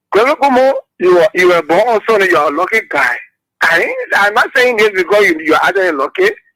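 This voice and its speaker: A man's raised, projected voice, high in pitch and bright and sharp in tone, very fast, with lively intonation, very even loudness and a dry, close sound with no echo. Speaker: caller. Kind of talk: call-in political talk.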